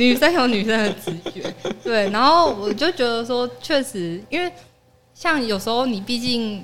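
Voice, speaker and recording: Over music in the background, a woman talks at a moderate pace with lively intonation. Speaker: office worker. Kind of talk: casual chat.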